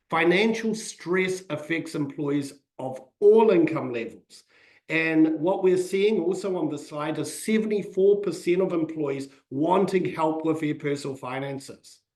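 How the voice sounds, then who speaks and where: A man with a New Zealand accent at a fairly high pitch, with ordinary pitch variation and a fairly slow pace. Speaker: financial advisor. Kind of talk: webinar presentation.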